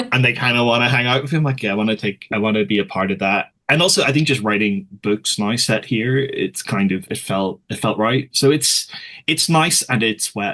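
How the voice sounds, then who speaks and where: In a Belfast accent, a man speaks at a fairly quick pace and medium pitch, his tone bright and sharp and his intonation lively. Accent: Belfast Northern Irish. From Northern Ireland, West Belfast. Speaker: author. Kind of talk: casual chat.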